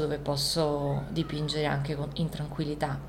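Her voice sits very deep and low, delivered in a flat, monotone way. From born in Isola del Liri, Italy; raised in Rio de Janeiro, Brazil from age 10 to 20. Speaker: visual artist. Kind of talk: interview in her studio. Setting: artist's studio. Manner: halting, many repetitions and fillers.

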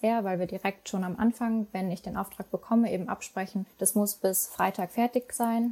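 Speaking with fairly even intonation at a moderate pace and medium pitch, a woman has an unremarkable speaking voice. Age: 20s. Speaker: digital nomad, content marketer. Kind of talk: interview.

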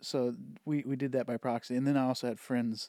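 The speaker is a man with a medium pitch. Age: 40s. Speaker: teacher, friend of host. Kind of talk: casual chat. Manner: halting, repeats words.

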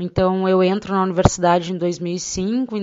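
A woman with a plain, everyday voice speaks fairly slowly. Her pitch is medium and her intonation fairly even. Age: 30s. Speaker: interviewer and daughter. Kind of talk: personal testimony.

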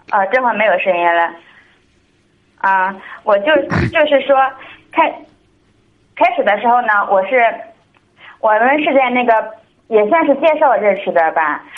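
A woman with a fairly high pitch makes very wide pitch swings and takes long, frequent pauses. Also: moderate pace. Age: 20s. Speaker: caller seeking marriage advice. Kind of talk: call-in advice conversation. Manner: halting.

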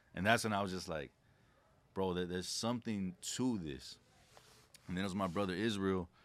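A man's very deep, low voice with an American accent, at a fairly quick pace broken by long, frequent pauses, on a very clean recording with a silent background. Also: ordinary pitch variation. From Southern California. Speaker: entrepreneur and consumer law specialist. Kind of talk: casual chat.

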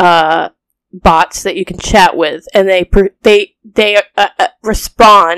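The background stays quiet. The speaker uses a natural reading voice.

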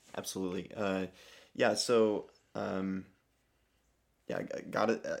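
A man speaks with a very deep, low pitch and flat, monotone intonation. The recording is very clean and the background silent. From Alabama. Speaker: refugee aid worker. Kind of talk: casual chat. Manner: halting.

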